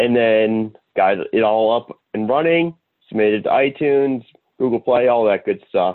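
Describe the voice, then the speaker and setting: A man with a medium pitch speaks at a moderate pace, his pitch varying in an ordinary way. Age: 30s. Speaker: podcast co-host. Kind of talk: casual chat.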